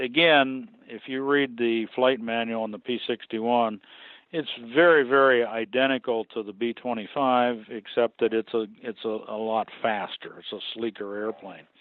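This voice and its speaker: An ordinary speaking voice from a man with an American accent, medium in pitch, fairly even in intonation, at a moderate pace. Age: 60s. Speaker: museum aircraft restorer and pilot. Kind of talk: interview.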